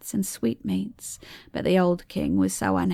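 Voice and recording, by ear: The text is read aloud. The voice is natural.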